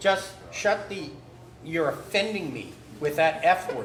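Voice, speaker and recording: A man speaks at a very slow pace. Audible room echo and noticeable background noise fill the recording. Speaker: trucking magazine publisher. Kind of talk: casual chat. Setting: live stream at a barbecue restaurant. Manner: loud; animated.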